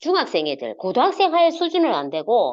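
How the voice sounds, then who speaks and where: The speaker has a strong Gyeongsang accent, and the pitch swings very widely. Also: woman. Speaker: network marketing leader. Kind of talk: online motivational talk. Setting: video call. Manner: hesitant, many fillers.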